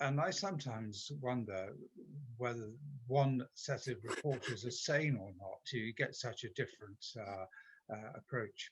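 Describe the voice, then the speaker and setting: The speaker talks at a fairly slow pace with ordinary pitch variation. The voice carries an English accent. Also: man. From England. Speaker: club member. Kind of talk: question from audience.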